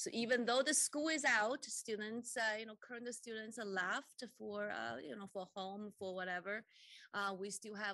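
Over a quiet background, a woman speaks at a moderate pace in a bright, sharp tone, with ordinary pitch variation, big swings in loudness and a dry sound with no echo. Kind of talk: opening remarks at a formal meeting. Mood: warm, upbeat. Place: meeting room. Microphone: podium.

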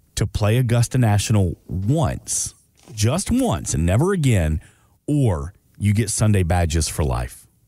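A man speaks with a dark, mellow tone, fairly low in pitch and somewhat breathy, swinging very widely up and down. The sound is dry with no echo, over a quiet background. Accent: American. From US South, Atlanta. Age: 40s. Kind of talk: casual chat. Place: studio.

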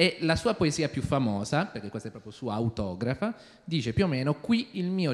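Swinging very widely in pitch, a man speaks at a moderate pace. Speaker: audience member asking questions. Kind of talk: audience question. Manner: halting.

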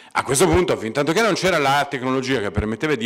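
The pitch swings very widely. The background is quiet. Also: man. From Italy, Pisa (Tuscany); Tuscany, Italy. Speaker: computer science professor. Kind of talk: lecture. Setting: stage with audience. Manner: halting, many fillers. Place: hall. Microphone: podium.

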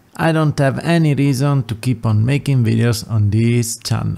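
Speaking at a fairly slow pace, a man with an Italian accent uses ordinary pitch variation. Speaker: YouTube content creator. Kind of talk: monologue video, farewell address.

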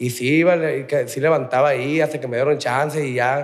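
A man speaks in a plain, everyday voice at a fairly quick pace. His pitch is fairly high and his intonation fairly even. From Mexico, Tijuana; Mexico. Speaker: rehab center resident, former gunman; podcast guest. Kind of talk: interview. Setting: rehab center. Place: studio. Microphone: studio mic.

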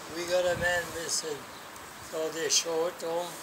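Noticeable background noise sits behind a man with a high pitch. He speaks at a fairly slow pace. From Rhode Island, USA. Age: 80s+. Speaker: war veteran. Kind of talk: casual conversation, reminiscing. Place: street. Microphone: phone near.

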